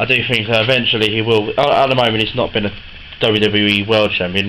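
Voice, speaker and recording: Amid audible room echo and noticeable background noise, a man speaks very fast in a flat monotone. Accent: British. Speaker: collector selling wrestling replica belts. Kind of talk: sales pitch. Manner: hesitant, many fillers.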